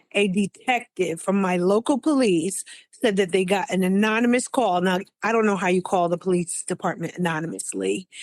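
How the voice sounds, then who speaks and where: A woman with a plain, everyday voice speaks at medium pitch and a moderate pace, with ordinary pitch variation. The sound is dry and close with no echo, and the recording is very clean over a silent background. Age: 60s. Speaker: scam victim. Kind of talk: interview testimony.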